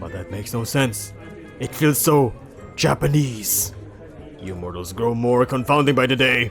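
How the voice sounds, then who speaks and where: A man puts on a hissing character voice at medium pitch and a moderate pace. Clear music plays in the background. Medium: read story. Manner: pompous, archaic.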